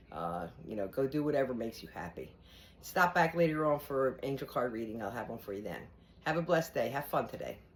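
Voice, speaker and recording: Her voice sits very deep and low, with vocal fry and very wide pitch swings. The woman talks at a very fast pace. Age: 60s. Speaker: spiritual vlogger. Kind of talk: casual vlog monologue. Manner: halting.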